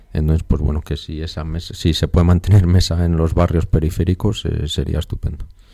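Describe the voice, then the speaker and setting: Against noticeable background noise, a man with a very deep, low voice speaks in a flat monotone at a fairly quick pace, with hardly any pauses. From Spain, Burgos. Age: young. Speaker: radio panelist. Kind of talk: radio roundtable discussion.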